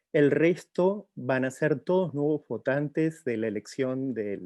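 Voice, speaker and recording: With a non-native accent, a man speaks very slowly in a dark, mellow tone at a fairly high pitch, making very wide pitch swings. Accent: foreign accent in Spanish. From outside Mexico. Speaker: professor. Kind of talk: formal address. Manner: hesitant with fillers.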